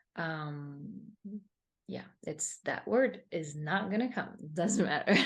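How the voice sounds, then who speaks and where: A woman's fairly low, somewhat breathy voice with a Spanish accent, at a very slow pace with big swings in loudness. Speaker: meditation teacher. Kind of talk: interview. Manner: halting.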